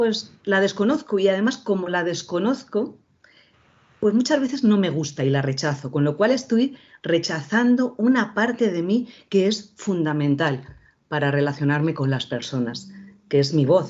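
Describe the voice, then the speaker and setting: Her pitch swinging very widely, a woman talks at a fairly slow pace. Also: medium pitch for a woman. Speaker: voice and communication coach, former TV presenter. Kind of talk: lecture. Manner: informal.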